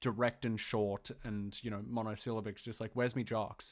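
A man talks at a fairly quick pace in a plain, everyday voice on a very clean recording with a silent background. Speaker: podcast co-host. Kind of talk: casual chat.

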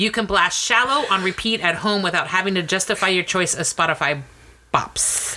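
A woman at a moderate pace and medium pitch, ordinary pitch variation, playful tone, very even loudness, and noticeable background noise. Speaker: podcast co-host. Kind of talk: casual comedic banter. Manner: sarcastic, playful.

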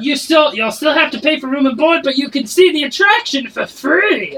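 This put-on character voice sits at a high pitch and moves at a moderate pace. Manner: gruff, pushy salesman.

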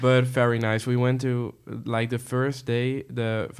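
A man speaks with a Dutch accent. His intonation is monotone and flat. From Netherlands. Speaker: international exchange student. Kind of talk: casual podcast interview.

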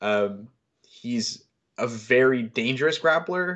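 Against a quiet background, a man with an American accent uses a normal speaking voice at medium pitch with lively intonation. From US South. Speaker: MMA analyst. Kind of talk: casual chat.

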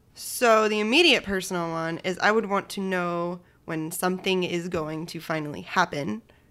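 Speaking with an American accent, a woman has a fairly low pitch and a bright, sharp tone, with ordinary pitch variation. She goes at a moderate pace with hardly any pauses, in a very clean recording with a silent background. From Shelton, Connecticut, US. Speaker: actor and voiceover artist. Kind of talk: casual chat.

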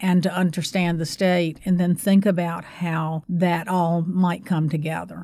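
In an unremarkable speaking voice, a woman with a fairly low pitch keeps her intonation fairly even on a very clean recording with a silent background. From North Carolina. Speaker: university public service center director. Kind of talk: interview.

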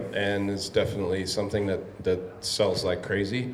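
Through noticeable background noise and audible room echo, a man with an American accent speaks at a moderate pace and fairly low pitch, with ordinary pitch variation. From San Diego, California. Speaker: brewery owner. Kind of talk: Q&A conversation. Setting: live event with audience.

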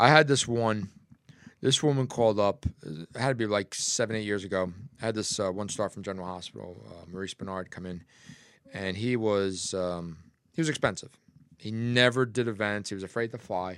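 A man with an American accent speaks at a moderate pace in a normal speaking voice, pitched fairly low. His loudness swings widely, and the recording is very clean with a silent background. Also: ordinary pitch variation. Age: 50s. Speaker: podcast co-host. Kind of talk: casual chat. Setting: studio, streamed live on Facebook.

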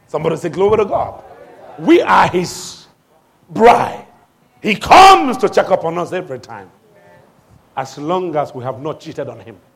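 With long, frequent pauses and big swings in loudness, a man in an animated tone speaks at a high pitch with lively intonation. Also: moderate pace. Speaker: pastor. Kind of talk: sermon. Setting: church. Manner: animated, call-and-response preaching, urging the congregation to shout back; commanding, authoritative.

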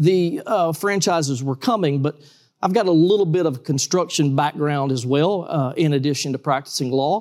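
A man with a Georgia accent talks at a moderate pace. The recording is very clean, with a silent background. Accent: US Southern (Georgia). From South Georgia, US. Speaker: trampoline park owner, former lawyer. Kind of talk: interview.

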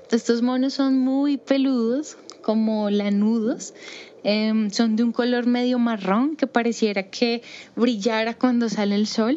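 A woman speaks very slowly in a fairly high voice, with very even loudness and fairly even intonation, over noticeable background noise. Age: 30s. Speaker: primatologist. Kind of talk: personal storytelling. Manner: hesitant, with fillers.

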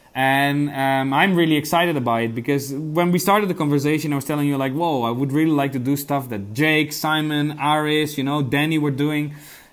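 Over noticeable background noise and an audible room echo, a man with a Dutch accent speaks at a fairly quick pace and fairly high pitch, with hardly any pauses. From Netherlands. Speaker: investigative journalist. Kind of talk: interview. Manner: hesitant, many repetitions.

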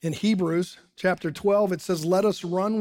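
A man with a US Midwestern accent speaks at a fairly slow pace in a high pitch, keeping his intonation fairly even. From Ohio, US Midwest (Dayton). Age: 60s. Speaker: pastor. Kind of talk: sermon. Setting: church service streamed online.

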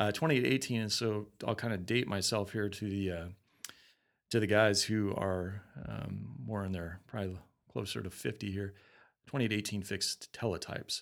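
A man with a Western US accent speaks at a moderate pace and a fairly low pitch, with ordinary pitch variation. The recording is very clean, with a silent background. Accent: non-Southern American, Western US. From Colorado, US. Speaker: Marine veteran. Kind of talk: interview, casual chat.

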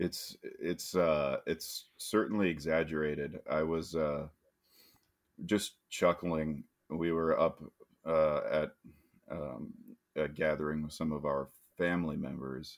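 A man's very deep, low voice with an American accent, very slow, with long, frequent pauses and fairly even intonation. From US Midwest. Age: 30s. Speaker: podcast co-host. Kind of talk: casual chat.

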